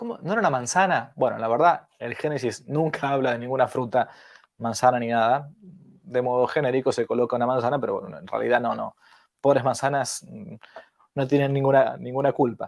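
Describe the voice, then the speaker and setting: A man's medium-pitched voice at a fairly quick pace, with ordinary pitch variation and big swings in loudness. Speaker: priest teaching catechesis. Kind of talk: lecture. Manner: animated.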